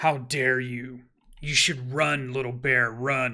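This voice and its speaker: A growling, put-on character voice speaks at a very slow pace. The intonation is monotone and flat. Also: man. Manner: snarling, menacing, contemptuous.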